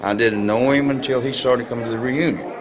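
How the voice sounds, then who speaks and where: Audible room echo and noticeable background noise surround a man with an American accent speaking at a medium pitch. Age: 70s. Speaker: retired wrestler. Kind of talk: interview. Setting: on location at event. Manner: halting.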